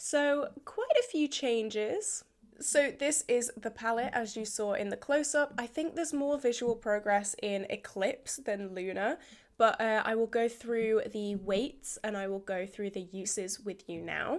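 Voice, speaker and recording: In a British accent, a woman speaks at a fairly high pitch and a fairly slow pace with ordinary pitch variation, on a very clean recording with a silent background. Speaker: beauty vlogger. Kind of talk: casual product update vlog.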